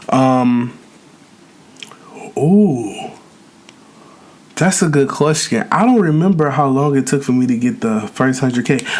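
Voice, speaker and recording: Speaking at a fairly slow pace with long, frequent pauses, a man with a fairly high voice uses lively intonation and very even loudness over noticeable background noise. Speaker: YouTuber, mukbang creator. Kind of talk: casual chat while eating, Q&A.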